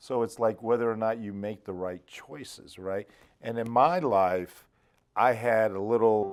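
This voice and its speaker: A plain, everyday voice moves at a fairly slow pace, its loudness swinging widely. The recording is very clean, with a silent background. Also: man, medium pitch for a man, ordinary pitch variation. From Arizona (South Phoenix). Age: 60s. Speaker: business founder. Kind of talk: casual interview. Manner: conversational, with filler words and restarts.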